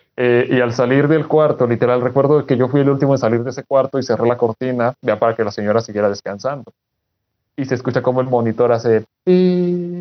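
The pace is fairly quick in an unremarkable speaking voice. Pitch moves up and down in an ordinary way. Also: man, medium pitch for a man. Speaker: doctor and content creator. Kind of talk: casual chat.

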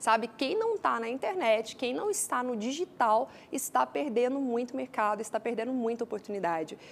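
A woman speaks in a Goiânia accent at a moderate pace. Her voice is fairly high with ordinary pitch variation. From Brazil, Goiânia. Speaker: entrepreneur and speaker. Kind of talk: interview.

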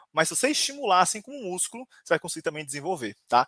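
Raised and projected, a man's high-pitched voice races at a very fast pace with an animated, bright, sharp tone and lively intonation, the sound dry and close with no echo. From São Paulo, Brazil. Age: 20s. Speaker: HR professional and creativity speaker. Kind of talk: live-stream talk.

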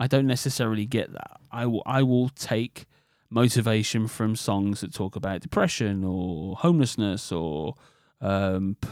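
In a very clean recording with a silent background and a dry, close sound with no echo, a man with a British accent speaks at medium pitch with lively intonation and a fairly slow pace. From UK. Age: 40s. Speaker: podcast host. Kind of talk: solo monologue podcast.

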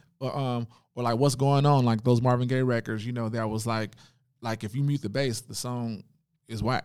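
Monotone and flat, a man with an American accent speaks at a medium pitch and a moderate pace on a very clean recording with a silent background. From Oakland, California. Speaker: bass player. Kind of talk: casual interview. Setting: studio.

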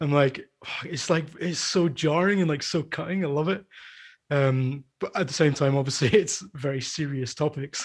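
This man has a Scottish accent and a fairly high pitch, and his voice is somewhat breathy. He speaks at a moderate pace with ordinary pitch variation. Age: 30s. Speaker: podcast host and coffee shop owner. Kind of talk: casual chat.

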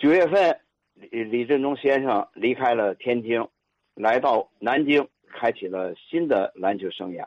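Recorded dry and close with no echo, a man speaks very slowly at medium pitch with lively intonation. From Tianjin, China. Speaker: physical education teacher and listener. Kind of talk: storytelling reminiscence.

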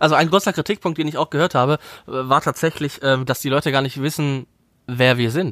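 This man has an ordinary speaking voice, a fairly high pitch with ordinary pitch variation, and a fairly quick pace, captured with a dry, close sound and no echo. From Wuppertal, Germany. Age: 30s. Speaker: actor and podcast co-host. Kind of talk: casual chat. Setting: remote recording.

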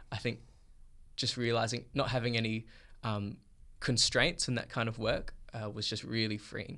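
A man with an Australian accent and a bright, sharp tone, at medium pitch and a moderate pace, with fairly even intonation and long, frequent pauses. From Perth, Australia. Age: 20s. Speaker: filmmaker and photographer. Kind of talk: interview.

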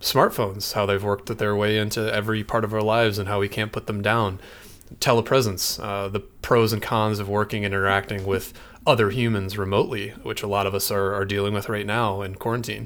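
A man with an American accent speaks at a fairly quick pace in a fairly low pitch. His intonation is flat and monotone, on a very clean recording with a silent background. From Michigan. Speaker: podcast host, web developer. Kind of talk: casual chat.

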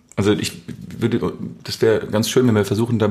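This is a man speaking at a medium pitch. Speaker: podcast co-host. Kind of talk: casual chat. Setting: home recording.

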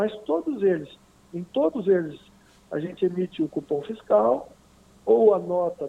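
A man's high voice at a very slow pace, full of very wide pitch swings. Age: 40s. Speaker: software company owner. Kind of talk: interview. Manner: halting.

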